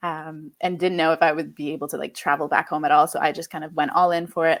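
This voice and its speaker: On a very clean recording with a silent background, a woman with a fairly low pitch talks at a fairly quick pace. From Quebec, Canada. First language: French. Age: 20s. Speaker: podcast guest, mother. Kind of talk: interview conversation.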